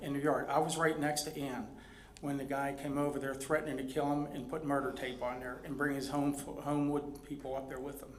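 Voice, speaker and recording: A man's fairly high voice amid noticeable background noise and audible room echo. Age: 60s. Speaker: resident speaking at public comment. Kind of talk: public comment at council meeting.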